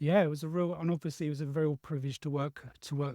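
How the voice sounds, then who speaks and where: In a very clean recording with a silent background and a dry, close sound with no echo, a man speaks very fast in a dark, mellow, somewhat breathy voice with fairly even intonation. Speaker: podcast host. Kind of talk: interview.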